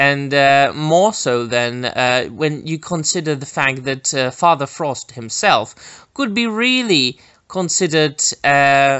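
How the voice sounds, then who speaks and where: A man's fairly high voice with a Czech accent, lively intonation and a very slow pace. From Czech Republic. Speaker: YouTuber film commentator. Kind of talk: casual video commentary. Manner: hesitant, many filler words.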